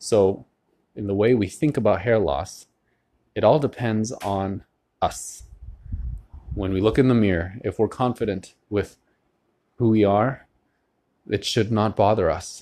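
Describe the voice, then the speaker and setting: A man speaks fairly slowly with a fairly low pitch and ordinary pitch variation. His long, frequent pauses stand out against a quiet background. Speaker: podcast host. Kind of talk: solo monologue. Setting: at home by a window. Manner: casual, conversational with fillers.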